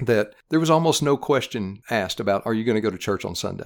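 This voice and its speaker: A man with a Tennessee accent at a medium pitch, at a very fast pace. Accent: Southern US (Tennessee). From East Tennessee, US South. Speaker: regional Baptist missions director. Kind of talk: interview on church ministry.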